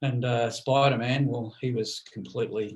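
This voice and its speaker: A somewhat breathy man at a moderate pace. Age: 60s. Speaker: podcast co-host. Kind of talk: casual chat.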